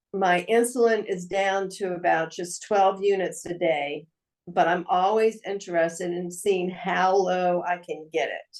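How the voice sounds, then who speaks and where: Using an ordinary speaking voice, a woman talks at a fairly slow pace in a medium pitch with fairly even intonation. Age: 60s. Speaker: guest with type 1 diabetes. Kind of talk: casual chat.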